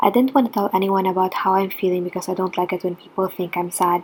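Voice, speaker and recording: A woman is speaking. She has a non-native accent. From Philippines. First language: not English. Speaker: international student. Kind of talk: personal story vlog.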